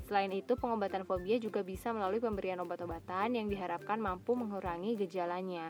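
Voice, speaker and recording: A woman's medium-pitched voice at a very fast pace amid noticeable background noise. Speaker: solo podcaster. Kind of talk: reading aloud; casual monologue. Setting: in a car.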